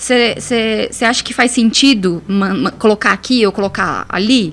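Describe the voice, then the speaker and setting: Over noticeable background noise, a woman talks at a moderate pace in a fairly high pitch with ordinary pitch variation. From Brazil, Piauí (Northeast). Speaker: communication specialist. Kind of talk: podcast interview. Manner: repetitive stammering fillers.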